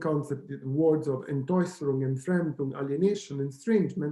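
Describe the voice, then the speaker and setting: Speaking with an Italian accent, a man has a dark, mellow, somewhat breathy tone at a fairly high pitch, a fairly quick pace and ordinary pitch variation, with audible room echo. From Italy. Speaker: professor. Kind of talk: lecture. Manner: hesitant, with fillers and self-corrections.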